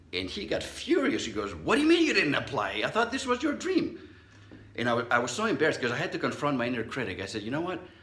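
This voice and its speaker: An animated man talking very fast, with audible room echo and noticeable background noise. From Southern California (immigrant as child). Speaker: psychologist, speaker. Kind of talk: motivational talk. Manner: conversational, animated storytelling.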